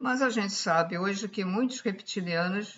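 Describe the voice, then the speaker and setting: A woman at a medium pitch, with lively intonation and a fairly slow pace. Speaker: spiritual channel host. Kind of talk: esoteric talk to camera. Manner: speaking louder than usual; halting.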